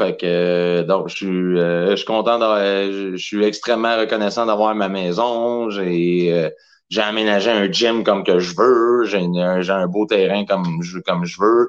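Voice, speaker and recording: In a quiet background, a man with a fairly low pitch speaks at a very slow pace with fairly even intonation. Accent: Quebec. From Quebec, Saint-Hyacinthe. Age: 30s. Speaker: professional wrestler. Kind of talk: casual chat.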